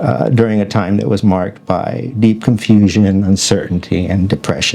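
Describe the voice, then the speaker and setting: A man with an American accent speaks at a moderate pace and a fairly low pitch. His pitch varies in an ordinary way over noticeable background noise. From Arizona. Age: 60s. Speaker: talk show host. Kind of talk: reading aloud. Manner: halting.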